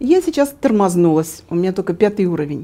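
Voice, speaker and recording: Her dark, mellow tone and lively intonation mark this woman's speech at a moderate pace. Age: 60s. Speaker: retired entrepreneur and network marketer. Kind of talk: interview. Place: home room. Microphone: lapel.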